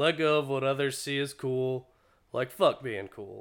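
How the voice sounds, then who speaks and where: A man with an American accent and a plain, everyday voice, at a moderate pace, in a very clean recording with a silent background. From North Carolina, Greensboro. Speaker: clothing company owner. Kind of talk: casual chat.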